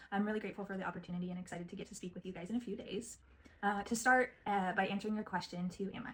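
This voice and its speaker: A somewhat breathy woman with an American accent, medium in pitch, at a very fast pace. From US Pacific Northwest. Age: 20s. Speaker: genetic counseling assistant and program applicant. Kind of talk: video interview self-introduction. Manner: hesitant with many fillers.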